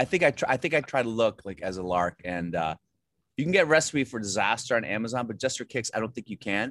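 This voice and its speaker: Very fast, lively speech from a man at medium pitch with an American accent, in a dry, close sound with no echo. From Virginia, US. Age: 40s. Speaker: comedian and actor. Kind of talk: casual interview. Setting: video call.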